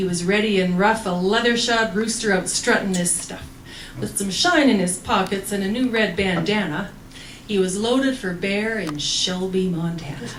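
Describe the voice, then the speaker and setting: Noticeable background noise sits under this moderate-paced speech with ordinary pitch variation. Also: woman, medium pitch for a woman. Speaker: cowboy poet. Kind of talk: poetry reading.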